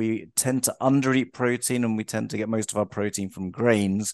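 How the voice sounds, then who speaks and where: A man with a London accent, fairly low in pitch, fairly even in intonation, in a dry, close sound with no echo and a quiet background. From London, England. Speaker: health and life coach. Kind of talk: interview.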